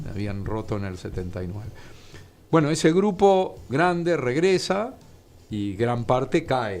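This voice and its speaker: With music in the background and audible room echo, a man of medium pitch speaks at a fairly slow pace, with very wide pitch swings and big swings in loudness. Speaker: author and historian. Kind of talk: interview.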